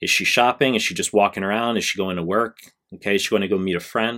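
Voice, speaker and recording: Fairly quick speech from a man with a normal speaking voice, fairly low in pitch and with ordinary pitch variation, on a very clean recording with a silent background. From United States. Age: 30s. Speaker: YouTuber / dating coach. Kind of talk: improvised video monologue. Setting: at home recording at computer.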